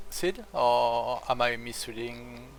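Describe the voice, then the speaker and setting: A man speaks with a French accent. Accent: French accent, usually easily identified. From France. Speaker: strategy game streamer. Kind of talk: casual gameplay commentary. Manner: hesitant, many fillers.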